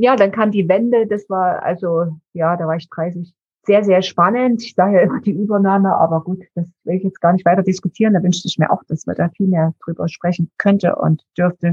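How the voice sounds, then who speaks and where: Her pace fairly quick, a woman speaks in a normal speaking voice at medium pitch with fairly even intonation. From eastern Germany, Dresden. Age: 60s. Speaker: founder of a mental health charity. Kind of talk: interview.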